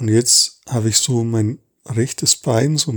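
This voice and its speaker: A somewhat breathy man speaks with ordinary pitch variation in a dry, close sound with no echo. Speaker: body awareness podcaster. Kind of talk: guided body scan monologue. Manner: slow, halting with pauses.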